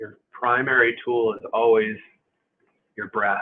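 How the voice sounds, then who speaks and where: A man speaks in a medium pitch. He is soft-spoken. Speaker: movement and stretching instructor. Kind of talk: guided movement class. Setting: live stream. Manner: halting, many fillers.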